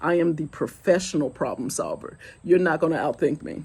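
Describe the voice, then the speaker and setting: A woman speaks at a fairly low pitch with a dark, mellow tone. Her pitch varies in an ordinary way. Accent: Southern US. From US South, Goose Creek, South Carolina. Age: 40s. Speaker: vlogger. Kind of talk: casual chat.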